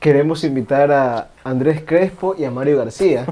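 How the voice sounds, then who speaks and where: A man's dark, mellow tone at a very slow pace. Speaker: podcast host. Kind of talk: casual chat.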